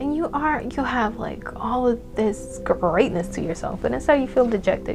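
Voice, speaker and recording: A woman's voice over noticeable background noise. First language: not English. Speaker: tarot reader. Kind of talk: pick-a-card tarot reading. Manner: casual, profanity-heavy, animated.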